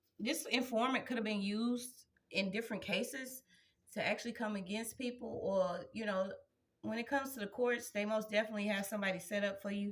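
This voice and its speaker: At a fairly quick pace, a woman talks in a fairly high pitch with fairly even intonation. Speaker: tarot energy reader. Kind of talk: spiritual reading to viewers. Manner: loud, projecting.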